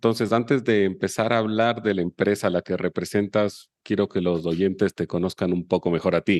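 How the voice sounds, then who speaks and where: A man at a fairly low pitch and moderate pace, with fairly even intonation, very even loudness, hardly any pauses, and a dry, close sound with no echo against a quiet background. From Chile. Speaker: podcast host. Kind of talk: scripted intro then interview.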